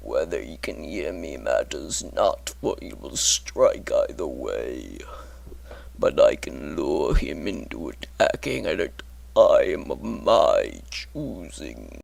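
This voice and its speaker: A man puts on a character voice with a menacing tone. He speaks at a very slow pace. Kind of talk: character monologue. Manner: slow, menacing.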